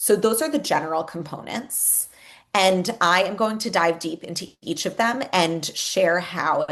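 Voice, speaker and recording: A woman with a plain, everyday voice speaks at a fairly slow pace, medium in pitch with ordinary pitch variation, over a quiet background. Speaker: education executive, former teacher. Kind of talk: webinar presentation. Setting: online webinar.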